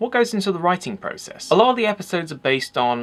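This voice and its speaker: Talking at a very fast pace with very wide pitch swings, a man speaks with an English accent over noticeable background noise. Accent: peculiar accent, English. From England. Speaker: photography channel host. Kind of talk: Q&A video, answering viewer questions.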